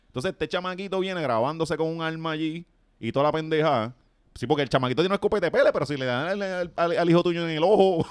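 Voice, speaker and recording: A man speaks very fast in a Puerto Rican accent. His pitch is fairly high, with ordinary pitch variation. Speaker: podcast host. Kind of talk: casual chat. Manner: animated.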